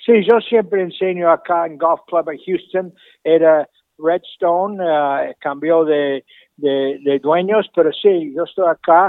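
A man's high-pitched voice at a very slow pace, with ordinary pitch variation. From Argentina. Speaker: golf professional and instructor. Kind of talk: interview. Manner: halting, frequent repetitions.

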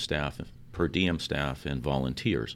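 Using vocal fry, a man with an American accent speaks at a fairly slow pace with ordinary pitch variation. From New York. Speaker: ambulance service director. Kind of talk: interview. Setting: ambulance facility.

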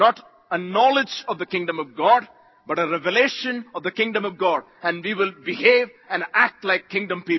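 At a moderate pace, the speaker uses an animated tone with ordinary pitch variation and an Indian accent. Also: man, high pitch for a man. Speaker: visiting preacher. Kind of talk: sermon. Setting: church conference with live audience. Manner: animated, call-and-response, exhorting the crowd; jovial, laughs often.

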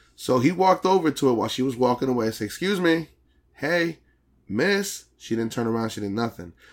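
A man speaks at medium pitch and a fairly quick pace in an animated tone with very wide pitch swings, on a very clean recording with a silent background. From Dominican-American community. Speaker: podcast host. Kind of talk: casual chat.

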